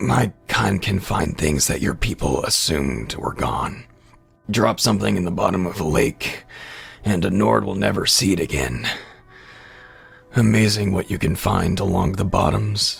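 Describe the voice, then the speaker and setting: A man's put-on character voice, raspy and very deep, with lively intonation and a moderate pace over music in the background. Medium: read story. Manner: wry, laughing between breaths.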